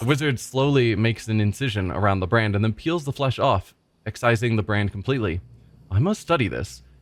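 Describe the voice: This plain reading aloud moves through ordinary pitch variation.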